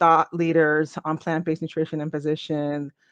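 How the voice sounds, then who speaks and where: A woman with an American accent speaks at a moderate pace and a fairly low pitch, in an unremarkable speaking voice. The background is quiet, and the sound is dry and close with no echo. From US West Coast, Inglewood, Los Angeles. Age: 40s. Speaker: family physician. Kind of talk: interview. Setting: podcast.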